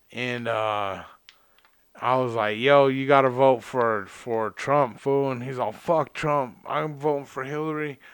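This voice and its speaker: In an American accent, a man speaks at a very slow pace. His intonation stays fairly even. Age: 30s. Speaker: podcast host, tile worker. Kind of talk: casual chat.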